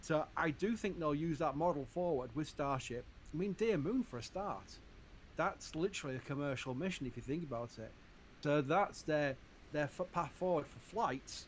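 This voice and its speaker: A man with a Yorkshire accent speaks at a fairly quick pace in a fairly high pitch with ordinary variation. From Yorkshire, northern England. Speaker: livestream space channel host. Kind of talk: live stream chat. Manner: casual, halting with repetitions.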